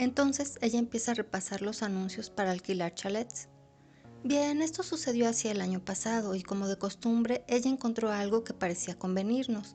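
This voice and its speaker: With music in the background, a woman speaks at a fairly high pitch. Her pitch variation is ordinary and her pace moderate. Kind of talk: audiobook short story reading.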